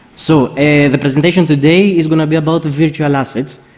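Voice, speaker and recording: Fairly high male speech against noticeable background noise. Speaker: financial regulator analyst. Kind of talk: conference presentation. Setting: stage with audience. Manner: fast.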